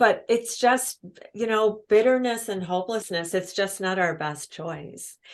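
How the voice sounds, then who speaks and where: A woman speaks at a fairly slow pace in an ordinary speaking voice, her medium pitch showing ordinary variation against a quiet background. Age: 60s. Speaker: author and speaker on women's purpose. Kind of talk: podcast interview.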